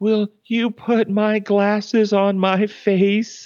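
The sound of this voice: This put-on character voice is shaky and fairly high-pitched. It moves at a very slow pace with monotone, flat intonation.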